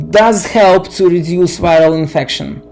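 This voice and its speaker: A man's high-pitched voice with audible room echo and music in the background. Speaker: science explainer. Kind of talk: lecture. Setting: at home. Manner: halting, many fillers.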